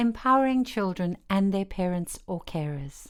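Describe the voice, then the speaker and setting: Lively intonation and a fairly slow pace from a woman with an unremarkable speaking voice, recorded very cleanly over a silent background. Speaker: voice-over narrator. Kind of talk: educational course narration.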